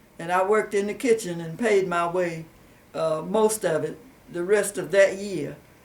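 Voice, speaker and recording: With a Southern US accent, a woman speaks at a moderate pace and medium pitch, using ordinary pitch variation and long, frequent pauses. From US South, Rutherford County, North Carolina. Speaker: oral history interviewee. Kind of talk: oral history interview. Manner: halting, many fillers.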